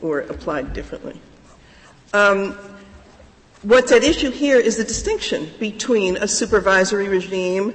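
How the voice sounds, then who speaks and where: Over noticeable background noise, a woman speaks at a moderate pace and a medium pitch with ordinary variation. She takes long, frequent pauses. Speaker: lawyer arguing before a court. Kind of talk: oral argument before a court. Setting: courtroom. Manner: formal.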